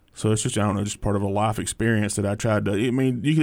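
Talking at a very fast pace, a man with an Alabama accent has a fairly low pitch. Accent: US Southern (Alabama). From Alabama (Hartsville area). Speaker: stand-up comedian. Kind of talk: casual interview.

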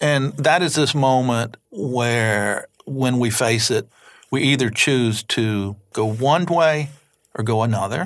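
In an Alabama accent, a man speaks at a very slow pace and medium pitch with ordinary pitch variation on a very clean recording with a silent background. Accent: Southern US (Alabama). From US South, Mobile, Alabama. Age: 60s. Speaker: novelist. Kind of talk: interview. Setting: studio.

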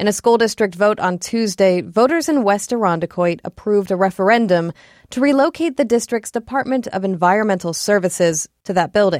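A woman with an unremarkable speaking voice and medium pitch talks with lively intonation and hardly any pauses. The recording is very clean, with a silent background and a dry, close sound with no echo. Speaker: education reporter. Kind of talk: scripted radio news report. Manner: clear, measured, steady reporter delivery.

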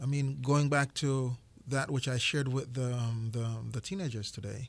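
A man with a Jamaican accent, somewhat breathy, at a moderate pace. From rural western Jamaica. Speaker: chef and restaurant owner. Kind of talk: radio interview. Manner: repeats words often.

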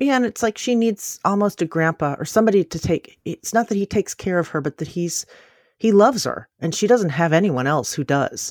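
A woman with an ordinary speaking voice talks at a medium pitch and a fairly quick pace with lively intonation. The recording is very clean with a silent background, dry and close with no echo. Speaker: podcast host. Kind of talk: interview and narration.

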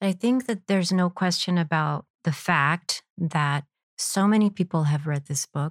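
A woman with a plain, everyday voice talks at a moderate pace in a fairly low pitch, with ordinary pitch variation. The sound is dry and close with no echo, on a very clean recording with a silent background. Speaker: interviewer and teacher. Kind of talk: interview conversation.

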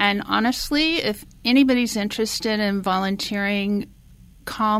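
A woman speaks at a moderate pace with ordinary pitch variation, an unremarkable speaking voice. The recording is very clean, with a silent background. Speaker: meal delivery volunteer. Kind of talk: radio interview.

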